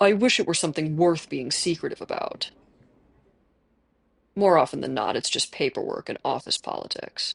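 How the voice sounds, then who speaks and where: Putting on a rumbling character voice, a man talks at a moderate pace with long, frequent pauses, the background quiet. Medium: game stream. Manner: calm, polite, authoritative.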